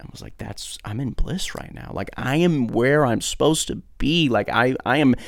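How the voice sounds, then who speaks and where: A man with a normal speaking voice talks at a moderate pace. The recording is very clean and the background silent. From Brazil and Michigan (American missionary family). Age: 20s. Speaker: podcast host and pastor. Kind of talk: personal testimony.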